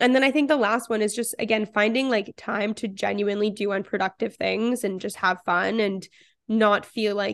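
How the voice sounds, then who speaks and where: With a quiet background, a woman in a Canadian accent talks fairly quickly at medium pitch, her intonation fairly even and her voice showing vocal fry. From Canada, Toronto. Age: 20s. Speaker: physician and content creator. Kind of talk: casual interview.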